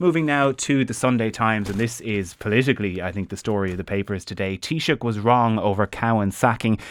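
A man with an Irish accent and fairly low pitch, fairly quick with hardly any pauses, his pitch variation ordinary. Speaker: radio presenter. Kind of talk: newspaper review discussion.

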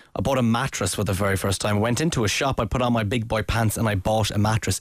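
A man speaks with an Irish accent. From Ireland. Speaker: podcast host. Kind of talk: casual banter podcast.

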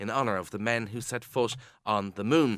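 A man with an Irish accent, medium pitch, ordinary pitch variation and a fairly quick pace, on a very clean recording with a silent background. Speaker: radio presenter. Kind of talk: radio interview. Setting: radio studio.

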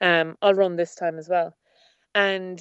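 A woman speaks with a west of Ireland accent. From Ireland, Achill Island (Mayo). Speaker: former political candidate. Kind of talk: interview.

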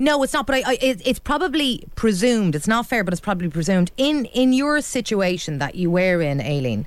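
Hardly any pauses, in a Dublin accent. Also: fairly quick pace. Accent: Irish (Dublin). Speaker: radio phone-in host. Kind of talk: call-in radio discussion.

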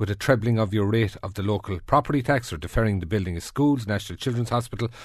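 Talking at a very fast pace, a man with an Irish accent has a medium pitch and ordinary pitch variation. His voice is somewhat breathy over a quiet background. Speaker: radio presenter. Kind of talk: newspaper review; panel discussion.

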